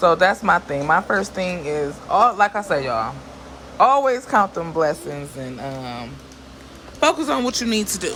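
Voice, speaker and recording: A woman's fairly low voice with very wide pitch swings and big swings in loudness, at a moderate pace over noticeable background noise. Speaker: vlogger. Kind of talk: casual talk to camera. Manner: animated.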